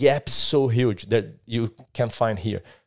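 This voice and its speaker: A man with a Brazilian Portuguese accent, ordinary pitch variation, on a very clean recording with a silent background. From southern Brazil. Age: 30s. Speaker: tech start-up entrepreneur. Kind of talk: casual chat. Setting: studio.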